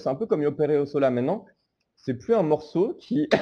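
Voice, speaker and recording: Against a quiet background, a man with a fairly high pitch and a dark, mellow tone speaks at a fairly quick pace with lively intonation. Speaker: podcast host. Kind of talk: casual chat. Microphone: recorded on phone.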